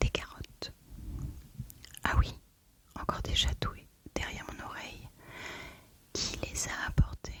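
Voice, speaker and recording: Noticeable background noise sits behind the audio. A woman whispers, fairly slowly. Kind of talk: whispered audiobook reading for sleep. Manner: whispered, soft.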